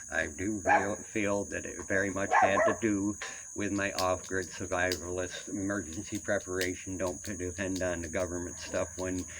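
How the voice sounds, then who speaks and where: A man's very deep, low-pitched voice at a moderate pace, amid audible room echo and noticeable background noise. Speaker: vlogger. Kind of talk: personal rant monologue. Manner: halting, many fillers.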